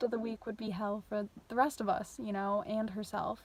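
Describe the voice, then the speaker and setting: A woman speaks with an American accent. Her pitch is fairly high and her intonation fairly even. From New York. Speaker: vlogger. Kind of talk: personal vlog. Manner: monotone; casual with many fillers.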